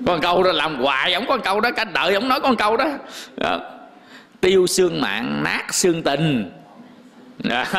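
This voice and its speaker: Speaking at a fairly slow pace with long, frequent pauses, a man with a high pitch moves through very wide pitch swings amid noticeable background noise and audible room echo. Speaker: Buddhist monk giving a dharma talk. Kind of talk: sermon. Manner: casual, conversational.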